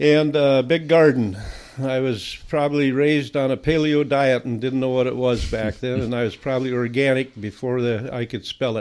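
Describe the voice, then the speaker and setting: Speaking with an Upper Midwest US accent, this man keeps a medium pitch. His intonation is fairly even and his pace moderate. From southern Minnesota. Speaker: veterinarian. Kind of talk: interview storytelling.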